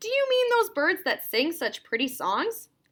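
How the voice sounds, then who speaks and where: A woman performs a loud, put-on character voice at an extremely high pitch. It has very wide pitch swings and a moderate pace. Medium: read story. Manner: loud, hearty.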